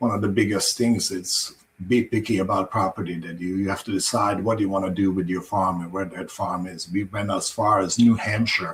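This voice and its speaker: A man talks fairly quickly with hardly any pauses. His voice is fairly low, somewhat breathy and fairly even in intonation. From Croatia. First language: Croatian. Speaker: farmer. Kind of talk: interview.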